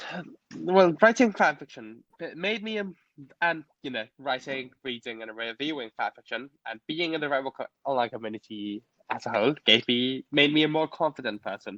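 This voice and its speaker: A man at a moderate pace with lively intonation, big swings in loudness, and a dry, close sound with no echo. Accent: Cantonese. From Hong Kong. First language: Cantonese. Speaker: fanfiction author. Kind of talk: interview. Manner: halting.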